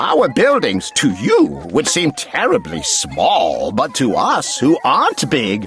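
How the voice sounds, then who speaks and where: A man in a put-on character voice at a fairly slow pace, with clear music in the background. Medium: read story.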